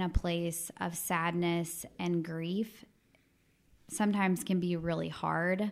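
Speaking very slowly with an American accent, a woman uses a fairly low pitch and monotone, flat intonation in a very clean recording with a silent background. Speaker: youth worker. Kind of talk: panel discussion.

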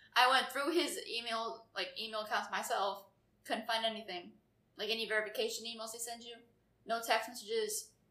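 Against audible room echo, a woman with a fairly high pitch and a bright, sharp tone keeps her intonation fairly even while her loudness swings widely. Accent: American. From Florida. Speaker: podcast guest, friend of hosts. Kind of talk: casual chat.

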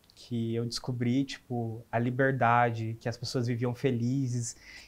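A man with an unremarkable speaking voice, medium-pitched, at a fairly slow pace. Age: 20s. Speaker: advertising designer. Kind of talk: interview.

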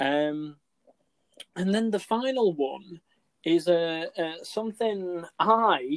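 This man's voice sits high in pitch, with lively intonation and a dry, close sound that has no echo. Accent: English. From England. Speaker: podcast co-host. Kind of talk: casual chat. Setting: remote call.

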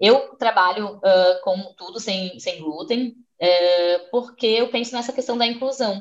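An unremarkable speaking voice belongs to this woman, pitched fairly high. She talks at a fairly slow pace. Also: ordinary pitch variation. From southern Brazil, Florianópolis. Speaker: chef. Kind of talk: interview.

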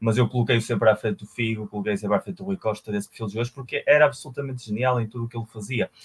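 A somewhat breathy male voice at medium pitch, very fast with hardly any pauses, ordinary pitch variation, and a dry, close sound with no echo. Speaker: football podcast co-host. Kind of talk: casual chat.

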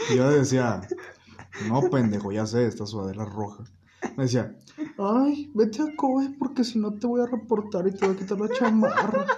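There is noticeable noise behind the voice. A man talks at a moderate speed. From Mexico, León, Guanajuato. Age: 19. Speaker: podcast guest. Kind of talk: casual chat. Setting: at a friend's home.

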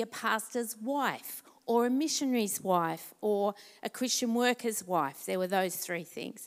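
With an Australian accent and lively intonation, a woman speaks on a very clean recording with a silent background. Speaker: pastor. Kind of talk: testimony. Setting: church.

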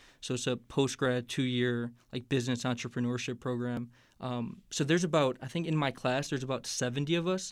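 On a very clean recording with a silent background, a man with an American accent speaks at a fairly quick pace with hardly any pauses, medium pitch and ordinary pitch variation. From Northwest Indiana (Hammond, near Chicago). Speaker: podcast guest. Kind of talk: casual interview chat.

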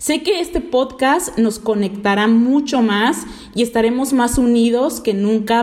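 A woman speaks at a fairly slow pace in a fairly high pitch, with ordinary pitch variation and noticeable background noise behind her. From Mexico, Veracruz. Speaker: podcast host, network marketing entrepreneur. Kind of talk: motivational podcast monologue. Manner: animated.

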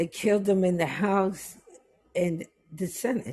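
With a dark, mellow tone, a woman speaks at a fairly low pitch, somewhat breathy, with ordinary pitch variation. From New York, West Indian family. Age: 50s. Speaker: guest. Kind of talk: casual chat. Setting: video call.

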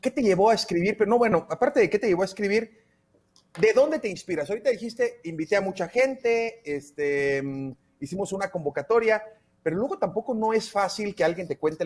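With lively intonation and a high pitch, a man talks at a very fast pace. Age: 30s. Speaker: radio host. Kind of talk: radio interview.

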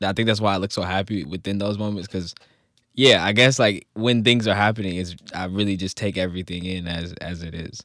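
With an unremarkable speaking voice, a man talks at a fairly quick pace and fairly low pitch with fairly even intonation, on a very clean recording with a silent background. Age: 20s. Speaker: social media comedian. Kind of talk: interview testimony.

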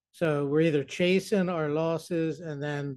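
Speaking with an American accent, a man uses a fairly high pitch and fairly even intonation at a fairly slow pace. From New Jersey. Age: 40s. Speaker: recovering gambler in support group. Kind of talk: casual chat.

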